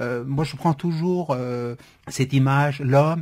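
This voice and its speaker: A man's somewhat breathy voice, pitch varying in an ordinary way. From Syria (Kurdish). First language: Kurdish (speaking French). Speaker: novelist. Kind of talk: radio interview. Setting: radio studio. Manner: hesitant, frequent repetitions.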